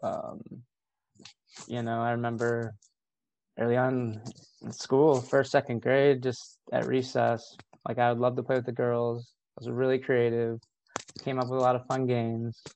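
A man with a medium-pitched voice speaks at a moderate pace with long, frequent pauses. His intonation is monotone and flat. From rural Ohio, US Midwest. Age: 40s. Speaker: therapist. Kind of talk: casual interview chat. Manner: soft-spoken; reflective.

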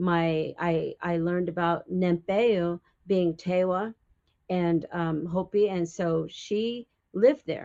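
A woman with an American accent speaks at a very slow pace. Her fairly low pitch carries a dark, mellow tone and fairly even intonation. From Arizona and New Mexico, Pueblo community. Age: old. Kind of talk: interview, personal storytelling. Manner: hesitant, many fillers.

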